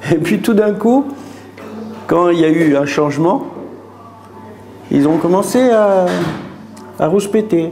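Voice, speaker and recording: Speaking at a very slow pace with long, frequent pauses, a man has a high pitch and very wide pitch swings. Audible room echo and music sit in the background. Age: 60s. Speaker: restaurant owner. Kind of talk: interview. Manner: halting, with repetitions.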